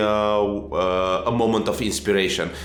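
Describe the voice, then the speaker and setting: With an Eastern European accent, a man speaks at a fairly slow pace over noticeable background noise. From Romania. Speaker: game director. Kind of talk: informal conversation.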